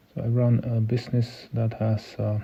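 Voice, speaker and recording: A man speaks with a non-native accent at a medium pitch. The background is quiet. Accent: non-native English speaker. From Sweden. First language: Swedish. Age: 50s. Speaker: entrepreneur and local politician. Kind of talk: podcast interview. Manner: halting, many fillers.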